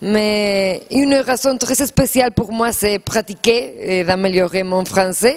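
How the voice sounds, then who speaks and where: With a Spanish accent, a woman talks very slowly with hardly any pauses, her fairly high voice showing ordinary pitch variation over noticeable background noise. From Spain. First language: Spanish (speaking French). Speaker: actress. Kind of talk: TV interview. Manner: halting.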